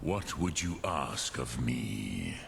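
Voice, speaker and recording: A man performs a put-on character voice. Clear background noise can be heard. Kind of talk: archaic solemn speech with dragon words. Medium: machinima. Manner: slow, grave, measured.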